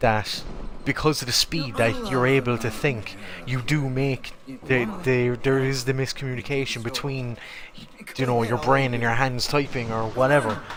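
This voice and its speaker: A man of medium pitch talks at a moderate pace with fairly even intonation against noticeable background noise. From Ireland, Cork City. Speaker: game streamer. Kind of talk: casual chat.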